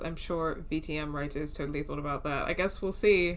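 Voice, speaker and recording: A woman is speaking in a room with audible echo. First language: not English. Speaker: let's play streamer. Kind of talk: gameplay commentary. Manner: casual, halting.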